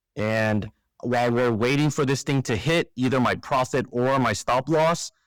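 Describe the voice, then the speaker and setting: In a normal speaking voice, a man talks at a moderate pace and medium pitch with ordinary pitch variation and very even loudness, the sound dry and close with no echo on a very clean recording with a silent background. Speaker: trading educator. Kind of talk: screen-share tutorial. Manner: casual with fillers.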